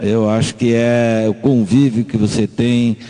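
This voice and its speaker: A man talks with a fairly low pitch. Background noise is noticeable. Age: 60s. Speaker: math teacher. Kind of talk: radio interview.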